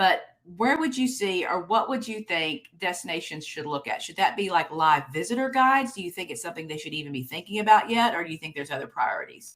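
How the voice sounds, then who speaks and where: Talking at a very fast pace with hardly any pauses, a woman at medium pitch makes very wide pitch swings and big swings in loudness. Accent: Texas. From Texas. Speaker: conference host and keynote speaker. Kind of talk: keynote presentation with interview. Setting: virtual conference.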